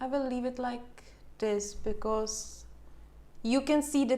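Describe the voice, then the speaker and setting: A speaker with a non-native accent talks in a space with audible room echo. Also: woman. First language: not English. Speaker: coloring channel host. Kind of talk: live stream coloring tutorial. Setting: home, live stream on camera. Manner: hesitant, with fillers.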